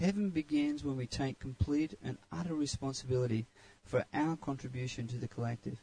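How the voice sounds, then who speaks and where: A man's somewhat breathy voice, medium in pitch, moves along at a moderate pace. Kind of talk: guided meditation.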